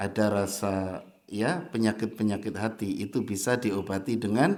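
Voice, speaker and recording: A man with a strong Javanese accent speaks amid audible room echo. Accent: Javanese accent, thick (medok). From Java, Indonesia. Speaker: Islamic preacher. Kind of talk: sermon. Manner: animated.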